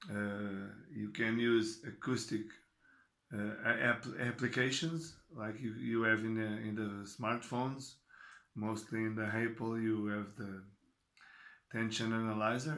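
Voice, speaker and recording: A man with a Portuguese accent speaks at a fairly slow pace and medium pitch. His intonation stays fairly even, and audible room echo surrounds him. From Portugal. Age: 40s. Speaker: tennis coach. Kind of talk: talk to camera. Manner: halting.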